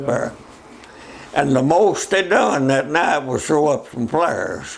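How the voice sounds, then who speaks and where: Over noticeable background noise, a man with an American accent speaks at a very slow pace. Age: 80s+. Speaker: war veteran. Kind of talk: interview answer.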